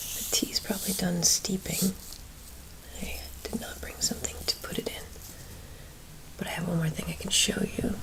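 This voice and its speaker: Whispering in a gentle tone at a moderate pace, with long, frequent pauses, the voice sits over noticeable background noise. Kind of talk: ASMR chat to camera. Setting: close-mic ASMR home recording. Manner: soft-spoken, gentle.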